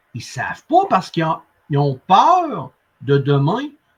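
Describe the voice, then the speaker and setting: Very slowly and with very wide pitch swings, a man with a Quebec accent speaks at a high pitch. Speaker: sales coach and interviewer. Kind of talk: interview conversation. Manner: animated.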